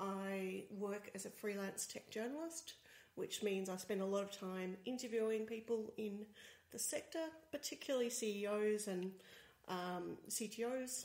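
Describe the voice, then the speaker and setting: A woman speaks quietly in an Australian accent with noticeable background noise behind her. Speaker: tech journalist, co-host. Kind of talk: casual chat. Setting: home studio, sharing one microphone. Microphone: far from the mic, low level.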